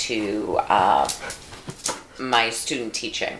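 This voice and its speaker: With noticeable background noise, a woman speaks at a fairly slow pace in an American accent, using ordinary pitch variation. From New York. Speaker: podcast co-host. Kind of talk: casual chat.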